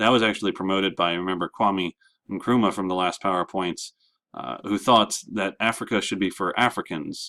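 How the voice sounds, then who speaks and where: This man has a very deep, low voice. He speaks at a fairly quick pace. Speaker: history teacher. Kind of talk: lecture. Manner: fast.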